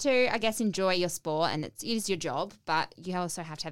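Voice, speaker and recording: Talking at a very fast pace with lively intonation, a woman with an Australian accent has a fairly low pitch, recorded very cleanly against a silent background. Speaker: podcast host. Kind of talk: casual interview chat. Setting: studio.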